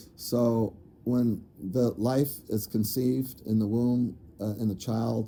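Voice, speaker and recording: A man's voice has a dark, mellow tone and fairly even intonation. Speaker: spiritual channeler and video creator. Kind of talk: casual monologue. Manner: rambling with many fillers.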